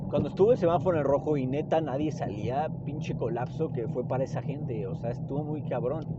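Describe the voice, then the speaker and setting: Talking at a fairly quick pace with hardly any pauses, a man uses a fairly high pitch and fairly even intonation, amid audible room echo and noticeable background noise. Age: 20s. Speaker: podcaster and doctor. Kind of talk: casual monologue. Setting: in a car. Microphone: hands-free phone mic.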